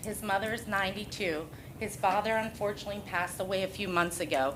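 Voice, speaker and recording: A woman's fairly quick delivery, with audible room echo and noticeable background noise. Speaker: nonprofit CEO. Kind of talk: public comment at council meeting. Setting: council meeting hall. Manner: loud.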